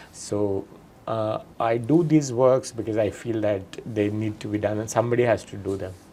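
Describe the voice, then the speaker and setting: Speaking at a moderate pace with a Bihari accent, a man uses a fairly low, dark, mellow voice and fairly even intonation. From Bihar, India (Nalanda). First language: Magahi. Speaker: writer and poet. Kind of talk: interview conversation. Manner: hesitant, many fillers.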